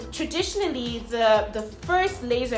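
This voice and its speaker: Over background music, a woman talks at a fairly slow pace in a high pitch that swings very widely. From South Africa. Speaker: mom blogger. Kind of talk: casual talk to camera.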